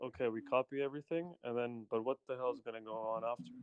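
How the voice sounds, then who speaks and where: A man with a non-native accent speaks at a fairly quick pace. His pitch sits in the medium range. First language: not English. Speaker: caller. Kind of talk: live Q&A. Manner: halting.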